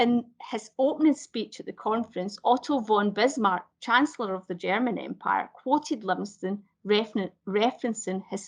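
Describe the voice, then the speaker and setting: Speaking at a fairly slow pace in a Glasgow accent, a woman has a fairly high pitch, ordinary pitch variation and vocal fry. The background is quiet. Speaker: heritage speaker on a panel. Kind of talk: presentation talk. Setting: live online event. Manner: halting, frequent self-corrections.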